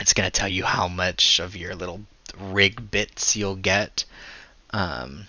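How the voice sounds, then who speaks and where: A man with a very deep, low pitch, vocal fry, fairly even intonation and a very slow pace. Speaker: gaming tutorial creator. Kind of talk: casual farewell talk; tutorial. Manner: casual with fillers.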